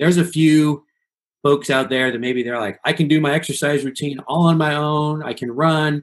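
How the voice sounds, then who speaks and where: An ordinary speaking voice from a man with a fairly high pitch, at a moderate pace with ordinary pitch variation, against a quiet background. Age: 40s. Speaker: pastor. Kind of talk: interview.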